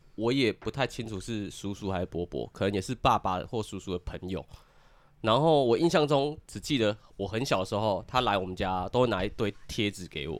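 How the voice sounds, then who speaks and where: On a very clean recording with a silent background, a man speaks at a fairly quick pace. His voice is fairly low and his intonation lively. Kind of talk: casual chat.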